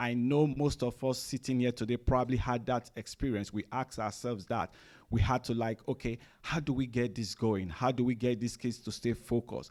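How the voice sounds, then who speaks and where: In a Nigerian accent, the speaker talks at a fairly quick pace with fairly even intonation on a very clean recording with a silent background. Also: man, medium pitch for a man. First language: Nigerian languages. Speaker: chief information officer, presenter. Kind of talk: conference presentation. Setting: room with live audience. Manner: hesitant, many fillers.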